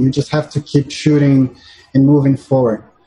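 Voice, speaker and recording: A somewhat breathy man with a Portuguese accent, a dark, mellow tone and fairly high pitch. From Brazil, Sao Paulo. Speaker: filmmaker, former lawyer. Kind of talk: interview. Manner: halting, with frequent repetitions.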